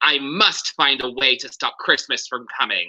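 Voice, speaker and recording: The voice is a growling, put-on character voice. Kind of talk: read-aloud storybook verse. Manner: growling, snarling.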